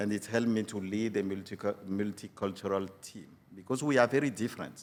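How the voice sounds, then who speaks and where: This is a man speaking with a French accent. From Benin. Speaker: UN regional director. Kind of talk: podcast interview. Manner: halting, frequent fillers.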